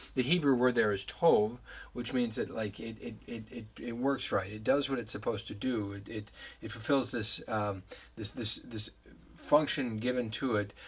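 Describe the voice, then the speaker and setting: Somewhat breathy, the man's voice moves at a moderate pace with ordinary pitch variation. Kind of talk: devotional teaching talk. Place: office. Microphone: webcam.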